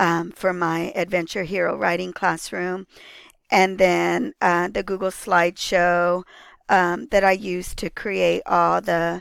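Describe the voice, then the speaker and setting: Very slow, fairly even speech from a woman with a fairly low pitch, on a very clean recording with a silent background. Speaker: teacher presenting a course project. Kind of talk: project overview presentation. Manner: hesitant with many fillers.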